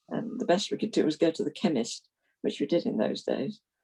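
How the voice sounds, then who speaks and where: A woman speaks at a moderate pace in a dark, mellow tone with vocal fry, her pitch swinging very widely. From London, England (South Norwood). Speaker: retired Methodist minister. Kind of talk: interview, life story.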